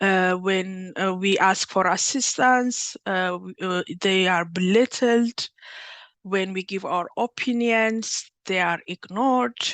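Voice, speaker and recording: A woman's medium-pitched voice with an Ethiopian accent and ordinary pitch variation, at a very slow pace, dry and close with no echo over a quiet background. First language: Amharic. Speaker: workshop facilitator, PhD candidate. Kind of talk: workshop presentation. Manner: halting, many fillers and restarts.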